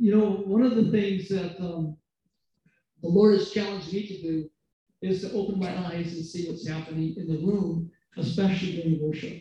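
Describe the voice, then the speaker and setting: A man with a high pitch speaks at a moderate pace, his intonation fairly even. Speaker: preacher. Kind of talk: sermon. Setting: stage with audience.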